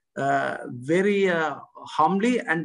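Against a quiet background, a man with a high-pitched voice speaks with ordinary pitch variation. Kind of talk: welcome speech. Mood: polite and formal. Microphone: video call.

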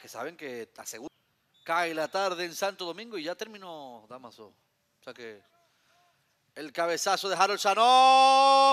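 A man's raised, projected voice with a bright, sharp tone moves at a fairly slow pace through very wide pitch swings and big swings in loudness, the sound dry and close with no echo. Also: very clean recording, silent background. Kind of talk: live sports commentary.

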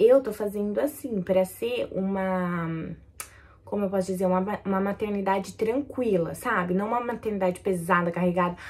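At a moderate pace, a woman with a medium-pitched, somewhat breathy voice speaks in an animated tone with ordinary pitch variation. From Brazil. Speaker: YouTuber, new mother; YouTuber. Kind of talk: casual vlog talk to camera. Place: home room. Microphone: phone near.

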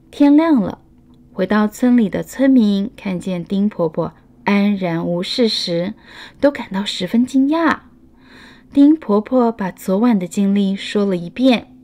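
A woman's medium-pitched voice with a dark, mellow tone, lively intonation and a very slow pace. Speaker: children's storyteller. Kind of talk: children's picture book read-aloud.

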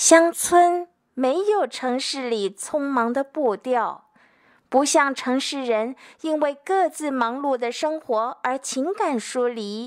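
Against a quiet background, a woman speaks at a very slow pace in a high voice with lively intonation. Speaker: teacher. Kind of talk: educational lecture with poetry reading. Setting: home recording with voice recorder. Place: home room. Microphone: handheld.

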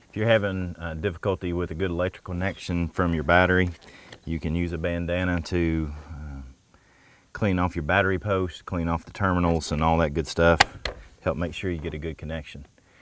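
A man speaks with a very deep, low pitch and monotone, flat intonation at a fairly quick pace. The sound is dry with no echo. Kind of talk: tutorial. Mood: light, joking. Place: forest.

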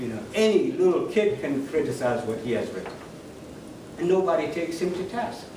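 The speech moves at a fairly quick pace. Noticeable background noise and audible room echo are present. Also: man. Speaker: guest. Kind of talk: lecture. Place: hall. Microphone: camera far.

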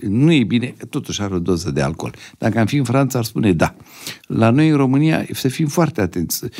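Against a quiet background, a man talks fairly quickly with vocal fry and a medium pitch that swings very widely. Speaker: neurosurgeon and professor; professor. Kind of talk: interview. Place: studio. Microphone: studio mic.

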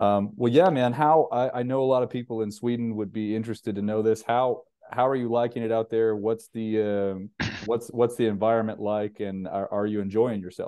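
A man speaks at a moderate pace and a medium pitch. He has an ordinary speaking voice with fairly even intonation. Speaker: basketball coach and recruiting showcase host. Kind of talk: casual interview.

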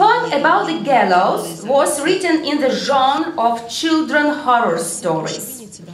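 A woman speaks at a very slow pace with a high pitch and very wide pitch swings, amid audible room echo and light background noise. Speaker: literary scholar; conference speaker. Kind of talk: conference talk. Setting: stage with audience. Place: hall. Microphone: podium.

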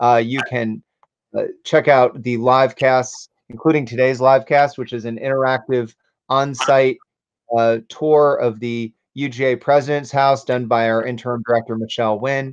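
With an American accent, the voice keeps a monotone, flat intonation at a moderate pace against a quiet background. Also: man. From US South. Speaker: nonprofit director and show host; interview host for history organization. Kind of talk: interview; livestream announcements. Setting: livestream. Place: home room. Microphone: video call.

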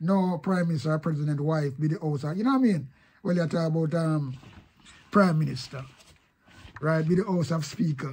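Speaking with a Jamaican accent, a man talks at a fairly quick pace in a fairly high pitch, with ordinary pitch variation and long, frequent pauses. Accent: Jamaican Patois. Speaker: online commentator. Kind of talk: casual video commentary.

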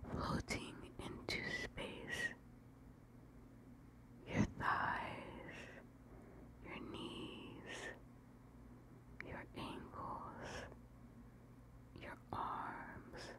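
Whispering with long, frequent pauses. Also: woman. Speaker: ASMR creator. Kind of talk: ASMR guided sleep meditation. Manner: whispered; slow, repetitive. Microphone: studio mic.

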